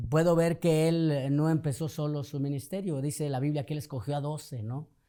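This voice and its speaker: A man's fairly high voice with a slight northern Mexican accent, dark and mellow in tone, at a moderate pace with fairly even intonation. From northern Mexico (Torreón, Coahuila). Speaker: pastor. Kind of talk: podcast interview.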